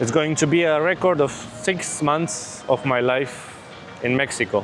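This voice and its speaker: Music plays behind a man with a non-native accent who speaks at a fairly slow pace in a fairly high voice, with ordinary pitch variation and very even loudness. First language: not English. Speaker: vlogger. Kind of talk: casual vlog. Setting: outdoors on a beach.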